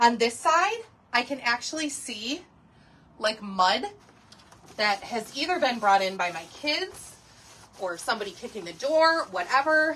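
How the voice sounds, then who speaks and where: Lively intonation from a woman with a high pitch. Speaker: home cleaning product demonstrator. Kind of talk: live online class demonstration. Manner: fast; casual, chatty.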